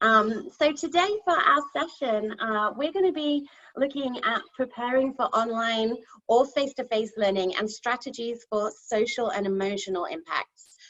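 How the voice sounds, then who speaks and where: A high-pitched woman with a British accent, lively intonation and a moderate pace. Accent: English (UK). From England, Nottingham (East Midlands). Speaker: kindergarten teacher. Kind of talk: conference presentation. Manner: hesitant, many fillers.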